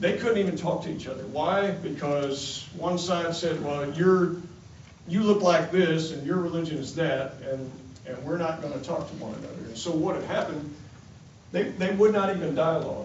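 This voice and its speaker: A man with an American accent talks at a moderate pace and fairly high pitch, with ordinary pitch variation and big swings in loudness. There is audible room echo and noticeable background noise. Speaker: congressman. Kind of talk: town hall speech. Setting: town hall meeting with audience.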